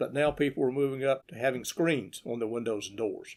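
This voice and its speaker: A man with a Southern US accent is heard on a very clean recording with a silent background. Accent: Southern US (Georgia). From US South, Georgia. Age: 60s. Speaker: local historian narrator. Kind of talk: narration of old photos. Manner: unscripted, conversational.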